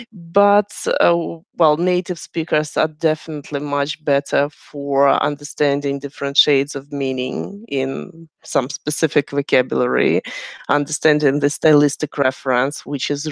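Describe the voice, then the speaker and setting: The speaker has a non-native accent and a moderate pace. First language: not English. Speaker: English teacher and channel host. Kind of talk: live chat interview.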